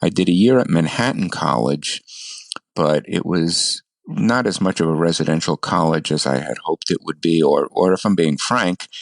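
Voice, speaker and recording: A man's very deep, low voice with vocal fry and lively intonation at a moderate pace, in a dry, close sound with no echo. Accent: New York. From US, New York City. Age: 70s. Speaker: ham radio operator, blind guest. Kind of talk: interview, life story.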